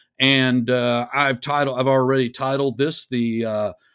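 A normal speaking voice with an American accent comes at a fairly slow pace in a very clean recording with a silent background and a dry, close sound with no echo. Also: man. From Texas. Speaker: risk management director. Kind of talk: quiz host casual chat.

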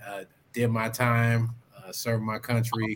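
The speech comes in an American accent with flat, monotone intonation. Noticeable background noise runs throughout. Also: man. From Oklahoma. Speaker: Navy veteran and public servant. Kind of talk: casual chat.

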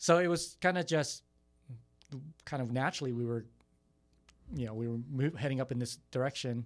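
A man in a Californian accent with ordinary pitch variation. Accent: Californian American English. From San Jose, California. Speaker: youth ministry coordinator. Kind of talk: radio interview.

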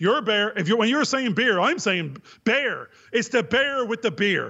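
A man with an Irish accent, extremely high in pitch, with lively intonation, very even loudness and a fairly slow pace. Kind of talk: casual chat.

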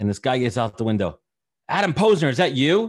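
Speaking at a very fast pace with a New York accent, a man is heard over a quiet background. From Brooklyn, New York. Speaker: podcast host and recruiter. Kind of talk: casual interview chat.

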